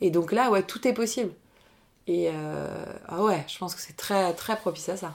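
Using vocal fry and big swings in loudness, a woman speaks at a fairly slow pace and medium pitch with ordinary pitch variation. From Paris region, France. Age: 30s. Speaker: business coach and improv actress. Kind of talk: casual interview chat.

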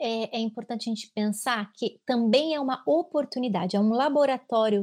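Here is an ordinary speaking voice: a woman at a fairly high pitch with ordinary pitch variation and a moderate pace. The recording is very clean, with a silent background. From Brazil, São Paulo state. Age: 30s. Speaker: clinical psychologist. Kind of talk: casual chat.

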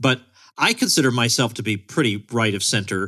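Against a quiet background, a man with a medium-pitched voice and a bright, sharp tone talks at a moderate pace with ordinary pitch variation. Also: dry, close sound with no echo. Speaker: podcast host. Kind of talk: interview.

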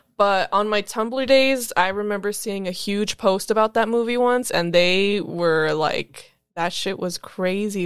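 A woman in a normal speaking voice, medium pitch, moderate pace and fairly even intonation, on a very clean recording with a silent background. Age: 20s. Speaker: podcast guest. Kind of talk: casual chat.

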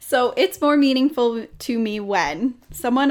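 In a very clean recording with a silent background, a woman uses an ordinary speaking voice at a fairly slow pace with ordinary pitch variation. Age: 20s. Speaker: podcast co-host, clerical support worker. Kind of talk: casual chat.

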